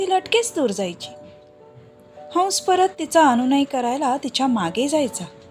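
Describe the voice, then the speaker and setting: With music in the background, a woman's voice moves through very wide pitch swings. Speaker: storyteller. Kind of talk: dramatic story reading.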